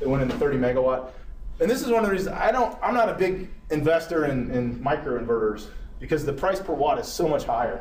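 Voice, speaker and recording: A man speaks very fast at a fairly high pitch, with very wide pitch swings. Noticeable background noise and audible room echo surround him. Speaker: engineer presenting a technical talk. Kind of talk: lecture.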